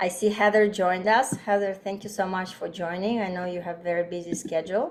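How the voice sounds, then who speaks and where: A woman's unremarkable speaking voice at a fairly quick pace, with fairly even intonation. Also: medium pitch for a woman. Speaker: doctor and aromatherapy teacher. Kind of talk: online workshop presentation.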